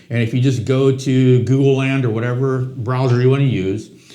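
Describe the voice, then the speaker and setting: In a room with audible echo, a man talks fairly quickly at a medium pitch with fairly even intonation. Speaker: real estate agent, podcast co-host. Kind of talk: casual conversational podcast.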